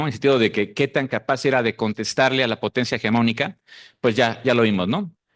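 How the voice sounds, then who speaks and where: A man with a Mexican accent, ordinary pitch variation, and a dry, close sound with no echo against a quiet background. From Mexico. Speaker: researcher. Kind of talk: conference talk.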